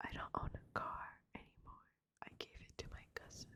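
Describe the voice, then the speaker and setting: Fairly slow whispering fills the clip. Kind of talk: ASMR story reading. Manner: whispered.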